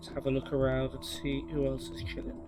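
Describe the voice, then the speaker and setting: Background music beneath a man's very deep, low voice, delivered at a medium tempo. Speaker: gaming YouTuber. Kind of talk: gameplay commentary. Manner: low energy.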